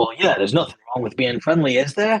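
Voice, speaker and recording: Using a put-on character voice, a man speaks very fast at a medium pitch. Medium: actual play. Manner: hearty, jovial.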